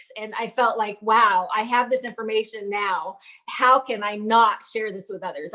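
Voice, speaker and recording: Speaking at a moderate pace, a woman uses a fairly high pitch and fairly even intonation. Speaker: pelvic floor physical therapist. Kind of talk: interview. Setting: podcast.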